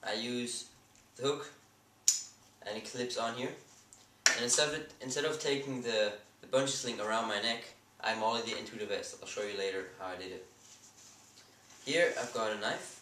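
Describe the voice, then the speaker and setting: A man speaks with a Swiss accent, leaving long, frequent pauses. Noticeable background noise can be heard. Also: medium pitch for a man, ordinary pitch variation, moderate pace. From Switzerland. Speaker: airsoft hobbyist. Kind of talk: casual gear review to camera. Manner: hesitant, many fillers.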